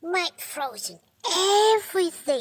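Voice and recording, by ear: Squeaky and extremely high-pitched, this is a cartoonish character voice.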